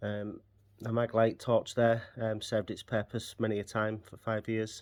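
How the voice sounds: A man speaks in a fairly low pitch with a slightly mellow tone. His pace is fairly slow and his intonation is monotone and flat.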